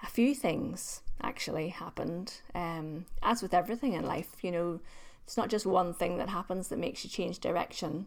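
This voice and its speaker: The speaker talks at a moderate pace in a Northern Irish accent, with ordinary pitch variation. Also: woman, medium pitch for a woman. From Northern Ireland. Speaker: LinkedIn trainer. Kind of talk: casual interview chat.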